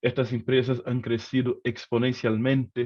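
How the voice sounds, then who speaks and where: A man talks in a Brazilian accent at a fairly slow pace. His pitch sits in the medium range. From Brazil, Rio de Janeiro. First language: Portuguese (speaking Spanish). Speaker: economist. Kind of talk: lecture. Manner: hesitant, with many fillers.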